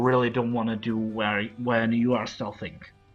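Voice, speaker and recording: Over music in the background, a man with a non-native accent speaks at medium pitch in a monotone, flat intonation. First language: not English. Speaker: video game streamer. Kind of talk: tutorial. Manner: halting.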